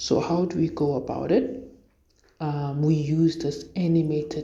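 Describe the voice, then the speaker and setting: A woman with a fairly low pitch sounds somewhat breathy, with a dark, mellow tone. Audible room echo is present. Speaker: programming tutorial creator. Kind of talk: tutorial. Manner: hesitant, many fillers.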